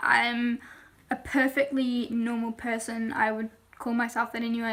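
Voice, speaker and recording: A woman speaks at a high pitch in an English accent. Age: young. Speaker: youtuber. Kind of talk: casual talk to camera.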